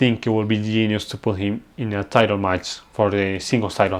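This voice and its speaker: Speech comes at a moderate pace in a non-native accent. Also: man. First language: non-native English speaker. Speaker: wrestling reviewer. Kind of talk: casual review talk.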